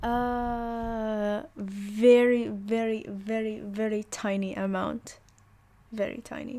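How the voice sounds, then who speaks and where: Speaking at a very slow pace, a woman has a fairly high pitch and a dark, mellow tone with an Arabic accent. Her intonation is monotone and flat. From UAE. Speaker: language teacher. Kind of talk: online lesson. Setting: voice chat on a Discord server.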